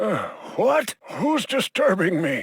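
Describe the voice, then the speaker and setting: Recorded with a dry, close sound and no echo, a man performs a put-on character voice at a high pitch. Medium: video game. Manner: dry, scornful.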